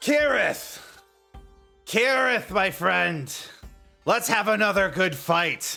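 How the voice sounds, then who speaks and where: A man in a put-on character voice, high-pitched, raised and projected, bellowing at a very slow pace with long, frequent pauses over faint music in the background. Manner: loud, bellowing.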